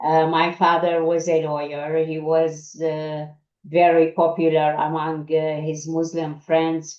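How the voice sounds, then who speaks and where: With an Arabic accent, a woman talks at a very slow pace in a very deep, low pitch and a monotone, flat intonation. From Iraq, Baghdad. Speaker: journalist. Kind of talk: interview. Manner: halting.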